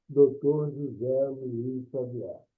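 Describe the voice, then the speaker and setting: A man's fairly high voice at a very slow pace, with music playing in the background. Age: 80s+. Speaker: retired judge, event moderator. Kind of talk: panel moderation.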